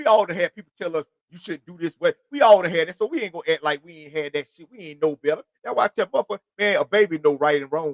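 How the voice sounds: A man's fairly high pitch, lively intonation and fast pace with few pauses, in a dry, close sound with no echo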